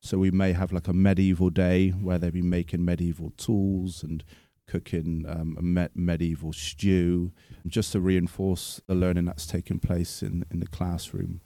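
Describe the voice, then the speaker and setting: In a very clean recording with a silent background, a man with a Bristol accent speaks at a moderate pace. His very deep, low pitch and dark, mellow tone stay in monotone, flat intonation. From Bristol, England. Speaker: forest school teacher. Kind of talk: interview.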